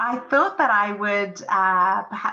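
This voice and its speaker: A woman with an English accent. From England. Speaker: podcast host and parenting coach. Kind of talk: solo podcast monologue. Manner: casual, with many fillers.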